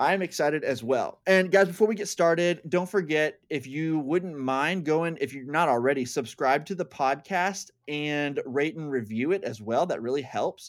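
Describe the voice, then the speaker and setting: Here is a man with a plain, everyday voice at a fairly high pitch, speaking at a moderate pace with hardly any pauses. His pitch variation is ordinary, and the recording is very clean with a silent background. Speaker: podcast host. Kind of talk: casual chat.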